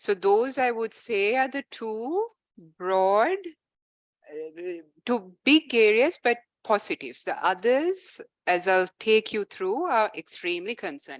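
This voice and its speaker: With an ordinary speaking voice, a woman talks at a fairly high pitch, her loudness swinging widely in a dry, close sound with no echo. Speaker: legal expert presenting on a law. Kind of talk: panel presentation with slides.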